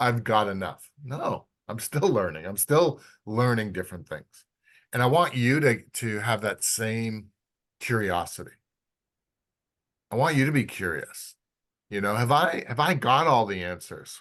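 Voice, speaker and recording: With lively intonation and long, frequent pauses, a man of medium pitch talks at a fairly slow pace against a quiet background. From Canada. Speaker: physical therapist and osteopath teaching a course. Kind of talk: lecture. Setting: clinic.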